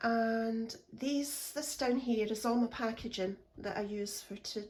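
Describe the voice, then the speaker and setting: A woman with a Scottish accent speaks at a very slow pace, her fairly high voice somewhat breathy. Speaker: craft vlogger. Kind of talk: casual room tour. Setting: at home in craft room.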